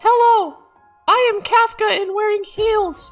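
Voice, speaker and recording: A woman uses a put-on character voice, squeaky and extremely high in pitch, with fairly even intonation. She speaks at a fairly slow pace while faint music plays in the background. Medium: machinima.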